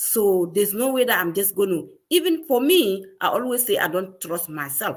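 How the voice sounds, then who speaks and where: A woman with a medium-pitched voice talks at a moderate speed. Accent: Ghanaian. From Ghana. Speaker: digital business owner. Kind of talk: live stream conversation.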